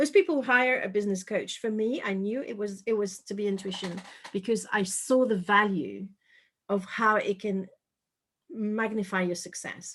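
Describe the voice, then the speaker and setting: A woman speaks with a French accent at a moderate pace. Her medium pitch shows ordinary variation. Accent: French accent, fairly light. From France, Paris. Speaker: intuition coach and author. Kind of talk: interview.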